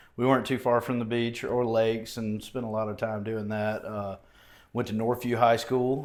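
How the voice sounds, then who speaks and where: In an Alabama accent, this voice speaks at a moderate pace with monotone, flat intonation, and the recording is very clean with a silent background. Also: man. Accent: Southern US (Alabama). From southeast Alabama, US South. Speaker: mayoral candidate, former judge and prosecutor. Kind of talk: podcast interview.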